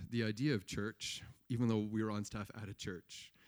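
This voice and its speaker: A plain, everyday voice with a Canadian accent moves at a fairly quick pace. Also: man. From Eastern Ontario, Canada. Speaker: pastor. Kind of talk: testimony.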